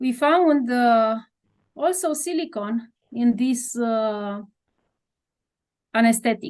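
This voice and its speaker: A woman with a Romanian accent and a high pitch speaks at a very slow pace with long, frequent pauses and ordinary pitch variation against a quiet background. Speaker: doctor and researcher. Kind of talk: interview. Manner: halting, many hesitations.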